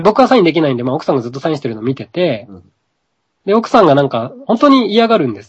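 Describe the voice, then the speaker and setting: At a very fast pace, a man with vocal fry and a fairly high pitch makes very wide pitch swings and big swings in loudness. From Japan. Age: 30s. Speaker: yoga practitioner and spiritual teacher. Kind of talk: casual chat.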